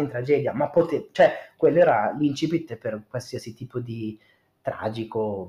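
Somewhat breathy, a man talks at a fairly slow pace with lively intonation. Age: 30s. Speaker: podcast guest, host's cousin. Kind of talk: casual chat.

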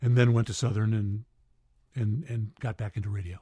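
A man speaks at a very fast pace in a dark, mellow, somewhat breathy tone. The recording is very clean, with a silent background and a dry, close sound with no echo. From upstate New York, Syracuse. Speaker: radio DJ and announcer. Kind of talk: casual interview. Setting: studio.

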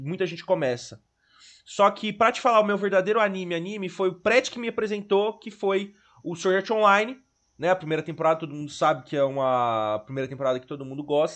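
A man with a high pitch speaks at a fairly quick pace, with lively intonation and big swings in loudness. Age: 20s. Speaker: podcast co-host, journalism student. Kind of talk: casual chat. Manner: halting.

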